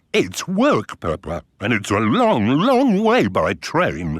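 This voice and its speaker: The pace is fairly slow. The voice is a cartoonish character voice. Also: man, medium pitch for a man. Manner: mild, hesitant.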